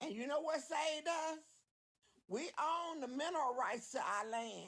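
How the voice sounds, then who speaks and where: A woman with an American accent speaks at a fairly slow pace in a high voice, her intonation lively and her tone animated. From Oklahoma, rural Boley. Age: 70s. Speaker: caller. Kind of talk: heated debate.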